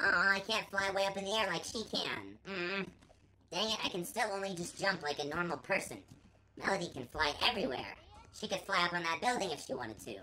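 A female-sounding put-on character voice at a medium pitch for a woman. It moves at a fairly quick pace. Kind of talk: casual game commentary. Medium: role play. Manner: upbeat.

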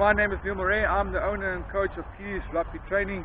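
Noticeable background noise sits behind the voice. A man speaks at a fairly quick pace. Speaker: rugby coach. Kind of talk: tutorial. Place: open country.

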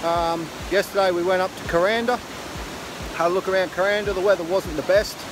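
A man's high-pitched voice, fairly quick and fairly even in intonation, with clear background noise

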